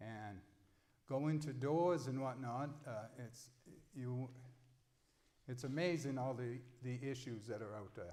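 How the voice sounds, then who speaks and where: Room echo is audible as a man with an American accent talks at a medium pitch with ordinary pitch variation. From Mid-Coast Maine, US. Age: 60s. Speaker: political candidate. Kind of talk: candidate forum statement.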